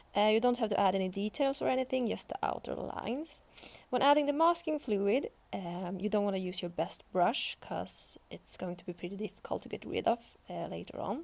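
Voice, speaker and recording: Speaking at a moderate pace with a Swedish accent, a woman uses a fairly high pitch and lively intonation. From Sweden. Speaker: art youtuber. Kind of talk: tutorial voice-over.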